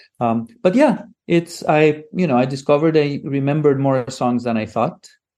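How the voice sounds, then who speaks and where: This man's tone is dark and mellow, his pitch fairly high. His pitch varies in an ordinary way. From Greece. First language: Greek. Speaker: linguist and father. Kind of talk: casual interview chat. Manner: halting, many fillers and repetitions.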